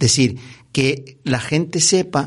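Against a quiet background, a man with a medium-pitched, somewhat breathy voice speaks at a fairly slow pace with ordinary pitch variation. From Canary Islands, Gran Canaria. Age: 60s. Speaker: former basketball referee and professor. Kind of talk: interview.

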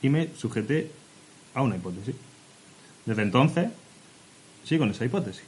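At a very fast pace, a somewhat breathy man of medium pitch speaks with lively intonation. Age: 20s-30s. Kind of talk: casual chat.

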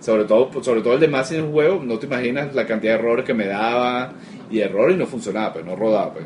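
Speaking very fast with lively intonation, a man with a Venezuelan accent talks at a medium pitch over noticeable background noise. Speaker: game studio founder. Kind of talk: interview.

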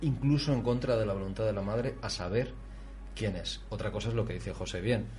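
A man talks at a fairly quick pace with music in the background. Audible room echo is present. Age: 40s. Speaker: radio host. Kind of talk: radio talk show. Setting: studio.

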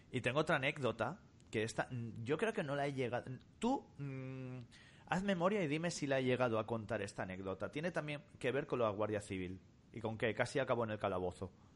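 Over a quiet background, a man with a medium pitch talks fairly quickly, his intonation lively. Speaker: podcast co-host. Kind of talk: casual chat.

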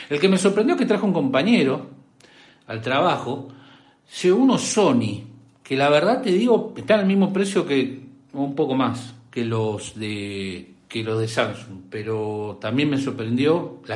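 A man speaks with a Rioplatense accent at a fairly slow pace, his pitch medium. Very wide pitch swings mark his voice, with audible room echo around it. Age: 50s. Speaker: tech livestream host. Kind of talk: casual chat.

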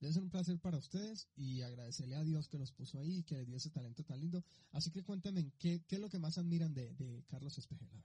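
A man with a fairly high pitch and a dark, mellow tone talks at a very fast pace with hardly any pauses. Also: ordinary pitch variation. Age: 20s. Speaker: radio host. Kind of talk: casual chat. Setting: studio. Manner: animated.

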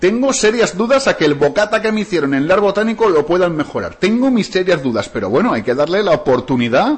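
An animated man's voice, high in pitch, at a fairly quick pace with hardly any pauses and very wide pitch swings. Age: 40s. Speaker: radio host. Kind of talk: morning radio show chat. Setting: studio.

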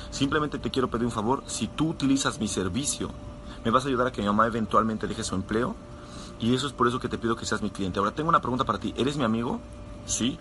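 A man with a medium pitch and an animated tone talks at a very fast pace. His pitch varies in an ordinary way, with noticeable background noise. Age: 20s. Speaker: network marketing sales leader. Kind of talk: motivational live talk.

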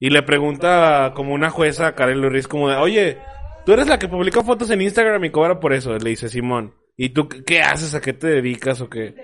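This man talks with a Mexican accent at a fairly quick pace. His pitch swings very widely. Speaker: podcast co-host. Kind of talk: casual chat. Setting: studio.

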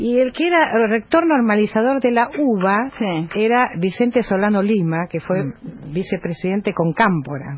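A woman speaks at a fairly high pitch and a moderate pace. Her pitch swings very widely. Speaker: journalist and news agency editor. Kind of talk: radio interview.

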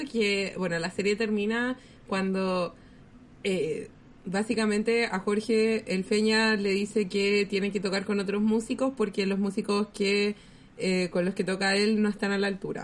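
A woman with a Chilean accent speaks at a fairly slow pace. Her loudness stays very even. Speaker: podcast host. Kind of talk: casual chat.

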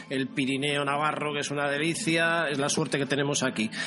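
Noticeable background noise accompanies a man whose pitch is fairly high. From Basque Country, San Sebastián. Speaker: radio host. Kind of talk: casual interview.

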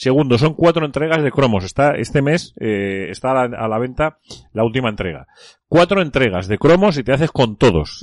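The voice has an animated tone with very wide pitch swings. The sound is dry and close with no echo, over a quiet background. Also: man. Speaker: radio host. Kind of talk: casual chat.

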